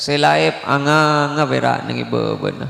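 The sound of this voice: A man speaks with vocal fry. His pace is slow.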